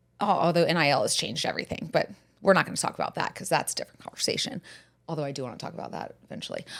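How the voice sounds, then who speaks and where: Speech comes at a very fast pace in an American accent. The loudness swings in big jumps. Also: woman. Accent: southern US, resurfacing. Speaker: podcast host. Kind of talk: casual chat.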